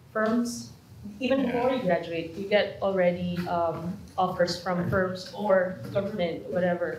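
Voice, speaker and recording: Amid noticeable background noise and audible room echo, a woman at a medium pitch speaks at a very slow pace. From Philippines. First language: not English. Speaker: internationally trained lawyer, program graduate. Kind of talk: panel talk at an information session. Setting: room with live audience. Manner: halting, many fillers.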